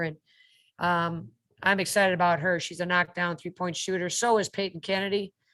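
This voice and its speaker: Against a quiet background, a woman speaks at a fairly quick pace. Her pitch sits in the medium range. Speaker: college basketball coach. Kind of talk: interview. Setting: video call. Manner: fast; animated.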